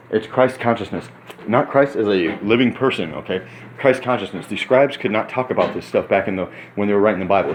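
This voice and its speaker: Amid noticeable background noise, the speaker talks at a very fast pace in an animated tone with ordinary pitch variation. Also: man, fairly low pitch for a man. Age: 30s. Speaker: vlogger, former prisoner. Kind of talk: casual monologue vlog. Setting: hotel room.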